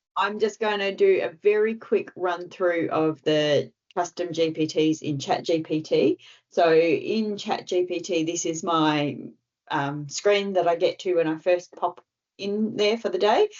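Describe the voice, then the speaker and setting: A woman speaks in a fairly low pitch with an Australian accent. Her pace is fairly slow and her pitch varies in an ordinary way. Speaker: tech trainer presenting to club members. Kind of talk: online tutorial presentation.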